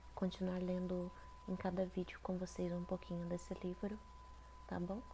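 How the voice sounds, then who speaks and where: Monotone, flat intonation with very even loudness at a moderate pace. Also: woman, medium pitch for a woman. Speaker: ASMR creator. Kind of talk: casual talk to camera. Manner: soft-spoken.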